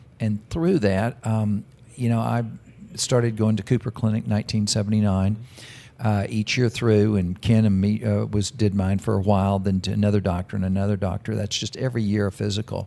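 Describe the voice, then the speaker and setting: With a Texan accent, a man talks at a fairly quick pace, his fairly low pitch and dark, mellow tone holding fairly even intonation. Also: very clean recording, silent background. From Texas, Dallas. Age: 60s. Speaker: businessman. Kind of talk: interview.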